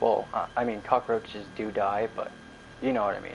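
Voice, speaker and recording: Over noticeable background noise, a man with fairly low pitch speaks at a moderate pace in a monotone, flat intonation. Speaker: gaming livestreamer. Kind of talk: casual live stream chat. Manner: slightly slurring and stuttering; casual, rambling pace.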